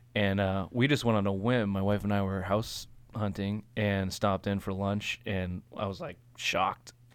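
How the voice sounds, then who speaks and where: A man's fairly low, evenly intoned voice at a moderate pace, in a very clean recording with a silent background. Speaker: assistant brewer. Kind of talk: casual chat. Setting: studio. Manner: clear, mic-savvy delivery.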